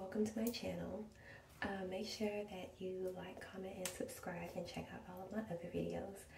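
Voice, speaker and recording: A woman talks with noticeable background noise around her and audible room echo. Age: 20s. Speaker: beauty vlogger. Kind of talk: tutorial. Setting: at home in bedroom. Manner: soft-spoken.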